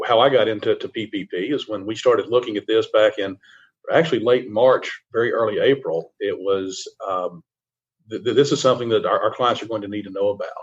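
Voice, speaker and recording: A man at a fairly quick pace, with a Southern US accent. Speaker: CPA firm risk advisory lead. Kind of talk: radio interview. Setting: remote virtual radio interview. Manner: halting, many repetitions and fillers.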